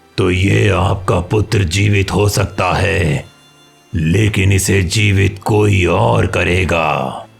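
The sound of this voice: A man's cartoonish character voice, very deep and low in pitch, at a very slow pace over faint background music.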